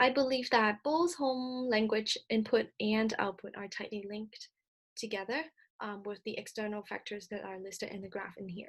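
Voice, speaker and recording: A Cantonese accent at a moderate pace, with ordinary pitch variation. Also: woman. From Hong Kong. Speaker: speech-language clinician presenter. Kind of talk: recorded presentation lecture. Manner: some hesitations and self-corrections.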